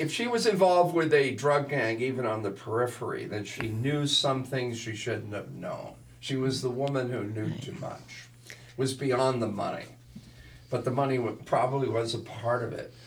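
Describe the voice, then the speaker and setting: Medium pitch from a man, moderate pace, ordinary pitch variation, and noticeable background noise behind him. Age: 60s. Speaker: podcast co-host, martial arts instructor. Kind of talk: casual chat, reading case notes.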